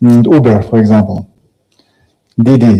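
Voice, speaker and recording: In a room with audible echo, a man with a dark, mellow tone speaks fairly slowly and with fairly even intonation. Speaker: tech company founder. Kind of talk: conference talk. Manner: halting, many fillers.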